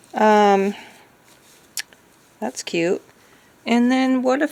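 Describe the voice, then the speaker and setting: A woman's pitch moves in an ordinary way while noticeable noise runs in the background. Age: 60s. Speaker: craft vlogger. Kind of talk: tutorial; casual chat. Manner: halting.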